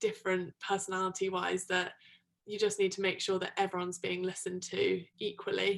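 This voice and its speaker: A woman with a British accent, medium pitch, moderate pace. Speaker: product manager in tech. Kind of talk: interview. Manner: loud; hesitant with frequent ums.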